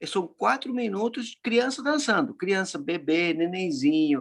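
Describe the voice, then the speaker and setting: The man's voice sits high in pitch, and his intonation is lively. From Argentina, Córdoba. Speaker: laughter yoga facilitator. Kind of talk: casual chat. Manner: halting.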